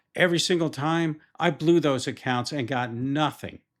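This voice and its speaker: A man with a normal speaking voice talks at a moderate pace, fairly high in pitch and with ordinary pitch variation. The recording is very clean, with a silent background. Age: 60s. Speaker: retail futures trader and YouTuber. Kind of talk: first-person vlog narration with chart walkthrough. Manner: conversational storytelling.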